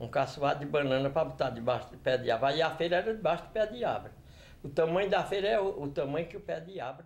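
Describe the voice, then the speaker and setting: Speaking very fast, a man uses lively intonation and a fairly high pitch, his loudness swinging widely. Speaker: elderly local resident. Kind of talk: oral history testimony.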